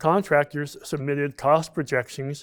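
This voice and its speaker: On a very clean recording with a silent background, a man with an Alaskan accent speaks at a fairly slow pace in a fairly high pitch with fairly even intonation. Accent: Alaskan American. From Alaska, Fairbanks. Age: 70s. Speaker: retired construction worker, pipeline-era memoir. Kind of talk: reading aloud his written memoir.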